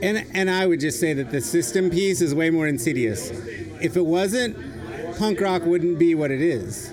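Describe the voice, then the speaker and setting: A man with a high voice and lively intonation talks in a room with audible echo while a crowd murmurs in the background. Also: moderate pace. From Torrington, Wyoming. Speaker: educator, education nonprofit founder. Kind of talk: casual chat. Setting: outdoors in a yard.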